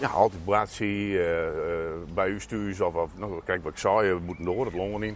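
Fairly low-pitched male voice at a moderate pace, with fairly even intonation. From Friesland, Netherlands. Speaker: local politician. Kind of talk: casual interview. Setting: outdoors. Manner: halting.

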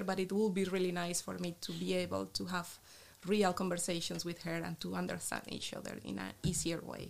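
A woman with a Colombian accent at a moderate pace. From Colombia, Bucaramanga. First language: Spanish. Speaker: biologist, researcher. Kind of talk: casual interview.

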